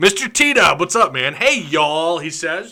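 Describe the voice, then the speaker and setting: Fairly slowly, a man speaks with a bright, sharp tone, vocal fry and very wide pitch swings. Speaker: sports podcast host. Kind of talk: casual live podcast chat. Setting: livestream.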